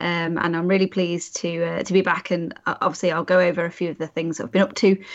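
A woman with a British accent is speaking. Her pace is very fast. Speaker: podcast co-host.

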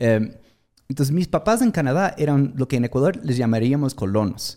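Recorded very cleanly against a silent background, a man talks at a medium pitch with a dark, mellow tone. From Atlantic Canada. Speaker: tech marketing entrepreneur. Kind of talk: casual interview. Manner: halting with many fillers.

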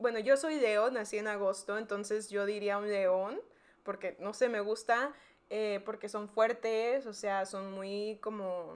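This woman talks at a very slow pace with a medium pitch. The recording is very clean, with a silent background. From South Texas border, McAllen. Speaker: podcast co-host. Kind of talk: casual chat. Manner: animated.

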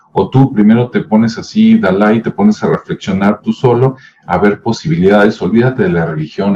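The tone is dark and mellow, with very wide pitch swings. The pace is fairly quick. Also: man. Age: 50s. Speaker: video commentator. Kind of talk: casual monologue. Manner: conversational with many fillers.

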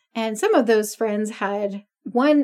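This woman has a fairly high pitch and a plain, everyday voice. She talks at a fairly slow pace. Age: 40s. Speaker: podcast co-host. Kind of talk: casual chat.

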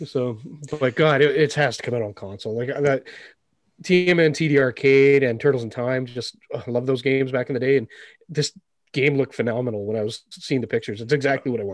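Against a quiet background, a man with a plain, everyday voice talks at a medium pitch and a fairly quick pace with ordinary pitch variation. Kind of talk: casual chat.

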